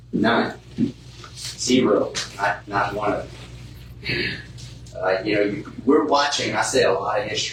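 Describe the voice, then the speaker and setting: A man with a fairly low voice speaks at a fairly slow pace, with ordinary pitch variation and long, frequent pauses. Audible room echo and noticeable background noise are present. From South Louisiana, Cajun. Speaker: real estate investor, speaker. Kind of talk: seminar talk to live audience. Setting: stage with live audience. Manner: casual, blunt.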